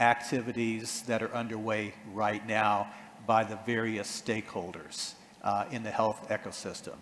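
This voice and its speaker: A man speaks fairly slowly with an American accent as noticeable background noise carries on around him. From United States. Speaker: panel moderator. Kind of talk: panel discussion. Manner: halting, many fillers.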